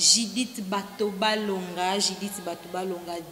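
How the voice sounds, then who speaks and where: Amid audible room echo and noticeable background noise, a woman speaks at a medium pitch. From DR Congo. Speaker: web TV host. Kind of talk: casual chat. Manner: animated.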